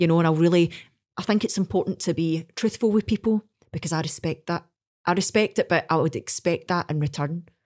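With a Scottish accent, a woman talks at a fairly quick pace in a fairly low pitch, the sound dry and close with no echo. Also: ordinary pitch variation. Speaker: singer. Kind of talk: casual interview.

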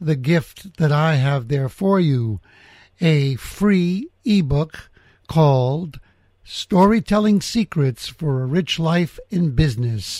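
Speaking very slowly with lively intonation, a man with an American accent and a fairly high pitch is heard in a dry, close sound with no echo on a very clean recording with a silent background. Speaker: podcast host. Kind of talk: casual interview. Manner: confident.

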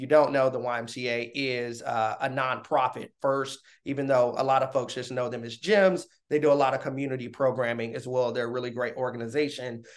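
Against a quiet background, a man talks at a fairly quick pace with a medium pitch and fairly even intonation. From US South, Augusta, Georgia. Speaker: customer success manager. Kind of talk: casual interview. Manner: articulate.

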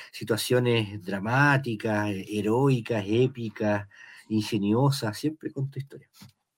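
Very slowly and with fairly even intonation, a man with a Chilean accent speaks at a medium pitch. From Chile, Valparaíso. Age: 50s. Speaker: novelist. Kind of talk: interview.

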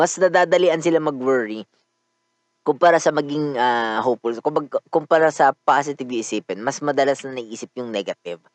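A plain, everyday voice moves at a fairly quick pace with ordinary pitch variation, in a dry, close sound with no echo. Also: man, fairly high pitch for a man. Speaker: podcast host. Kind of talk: casual monologue.

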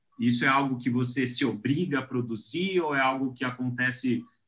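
Here is a man with a plain, everyday voice at medium pitch. He talks at a fairly slow pace. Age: 30s. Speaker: podcast co-host. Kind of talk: casual interview.

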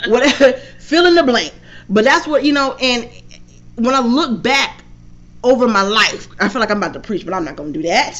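The woman's voice is high, swinging very widely in pitch. She talks at a fairly quick pace with long, frequent pauses. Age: 40s. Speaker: podcast host and motivational speaker. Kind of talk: casual interview chat. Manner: animated, laughing often.

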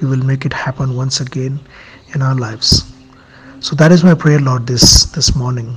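The speaker keeps a moderate pace while music runs underneath. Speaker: prayer leader. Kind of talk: fervent intercessory prayer addressed to God. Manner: earnest, pleading.

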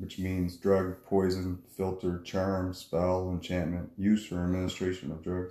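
This man has a very deep, low pitch and a dark, mellow tone with a Maritime Canadian accent. He keeps a moderate pace and a flat, monotone intonation. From New Brunswick, Canada. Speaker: fisherman and street minister. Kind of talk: testimony.

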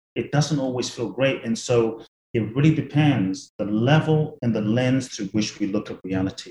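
The voice has a dark, mellow tone, somewhat breathy, with ordinary pitch variation at a moderate pace. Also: man, medium pitch for a man. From London, England. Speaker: author and spiritual teacher. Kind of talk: interview.

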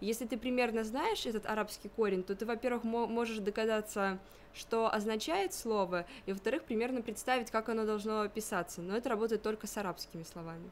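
Speaking at a fairly quick pace, a woman with an ordinary speaking voice and fairly high pitch keeps her intonation fairly even. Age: 20s. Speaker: university student of Persian. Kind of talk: interview.

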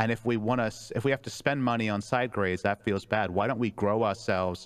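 A man talks in an ordinary speaking voice at a fairly quick pace. His intonation is fairly even, and the background is quiet. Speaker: esports team coach or analyst guest. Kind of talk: casual chat. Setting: live stream.

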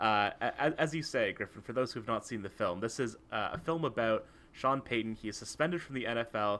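A man with a Canadian accent, medium pitch, a bright, sharp tone, ordinary pitch variation and a fairly quick pace with hardly any pauses, on a very clean recording with a silent background. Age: 20s. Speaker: sports podcast co-host. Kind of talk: casual chat; scripted rant. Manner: animated.

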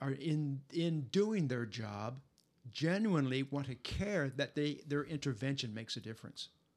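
A man talks at a moderate pace in an ordinary speaking voice, his pitch fairly high. His intonation is lively. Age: 60s. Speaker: podcast host. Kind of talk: casual interview.

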